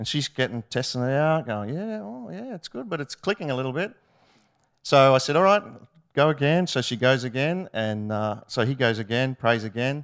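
Speaking in an Australian accent at a moderate pace, a man with a medium pitch uses lively intonation on a very clean recording with a silent background. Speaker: ministry student. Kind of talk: testimony. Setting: stage with audience.

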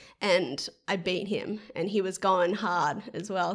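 A woman with an Australian accent and a medium pitch, on a very clean recording with a silent background. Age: 20s. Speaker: professional triathlete. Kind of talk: casual chat.

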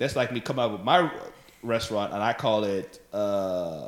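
Fairly low in pitch with ordinary variation, this man has a plain, everyday voice. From Africa, raised in Texas. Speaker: stand-up comedian. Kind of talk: casual chat. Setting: at host's house.

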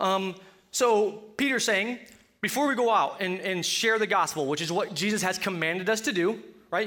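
With a Colorado accent, a raised, projected voice carries a bright, sharp tone and ordinary pitch variation. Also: man. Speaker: preacher. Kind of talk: sermon. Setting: church. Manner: halting.

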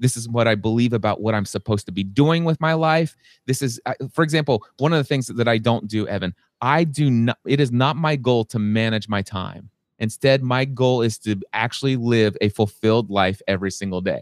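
A man with a normal speaking voice, medium pitch and ordinary pitch variation, at a fairly quick pace, in a very clean, silent-background recording with a dry, close sound and no echo. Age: 40s. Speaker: business and life coach. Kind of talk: interview. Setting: podcast recording.

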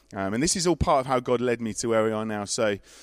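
An English-accented male voice, recorded very cleanly with complete silence behind it. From Worcester, England. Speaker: pastor. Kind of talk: panel interview.

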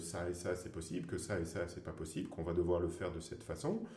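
A man with a very deep, low voice, dark and mellow in tone and somewhat breathy, speaks with audible room echo. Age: 40s. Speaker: free diver and underwater photographer. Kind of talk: interview.

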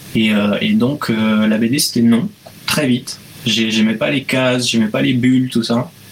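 The speech comes at a fairly slow pace with very even loudness and ordinary pitch variation over noticeable background noise. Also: man, medium pitch for a man. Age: 20s. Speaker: illustrator. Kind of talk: casual interview.

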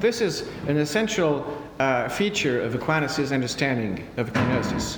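There is noticeable background noise as a man talks with a French accent. His pace is fairly slow and his pitch swings very widely. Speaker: priest and theology lecturer. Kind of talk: answering audience questions; lecture. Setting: conference with audience. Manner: formal; halting.

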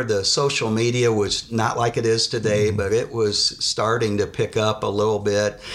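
Noticeable background noise behind a fairly low male voice. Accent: American. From Indiana, Muncie area. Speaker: former college basketball player. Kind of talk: interview storytelling.

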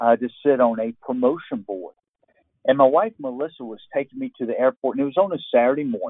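An ordinary speaking voice from a man with an American accent, medium in pitch, at a fairly quick pace with big swings in loudness. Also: ordinary pitch variation. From US South, Georgia. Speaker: retired Marine colonel and author. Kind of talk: interview.

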